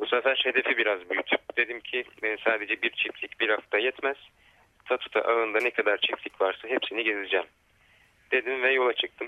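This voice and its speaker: A man speaks at a medium pitch. His intonation is fairly even and his loudness very even. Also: moderate pace. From Turkish city. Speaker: ecological farming network coordinator. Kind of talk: radio interview. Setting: phone call. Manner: halting, many fillers.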